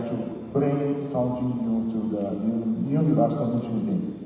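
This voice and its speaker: A man speaks with audible room echo. Noticeable background noise runs beneath him. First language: Italian. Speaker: miniature painter and studio founder. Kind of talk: live presentation.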